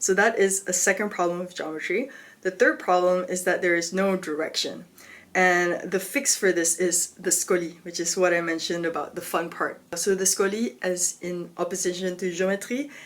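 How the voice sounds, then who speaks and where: This is a woman at a medium pitch. She speaks at a moderate pace with ordinary pitch variation. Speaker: philosophy video creator. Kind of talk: educational explainer. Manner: casual, filler-heavy (like, um); stumbling articulation today.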